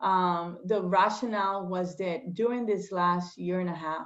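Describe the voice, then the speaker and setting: Speaking fairly slowly in a Spanish accent, a woman uses a medium pitch with ordinary pitch variation. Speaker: state legislator. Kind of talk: interview. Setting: video call. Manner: hesitant, many fillers.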